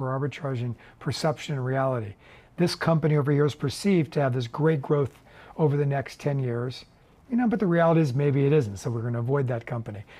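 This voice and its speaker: This man speaks very fast in a fairly high voice that is somewhat breathy. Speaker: investor and fund portfolio manager. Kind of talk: interview. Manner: halting.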